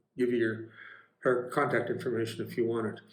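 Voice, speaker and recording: The room echo is audible. A man speaks at a medium pitch. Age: 70s. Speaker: retiree vlogger. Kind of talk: casual home-tour vlog. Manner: halting, many fillers.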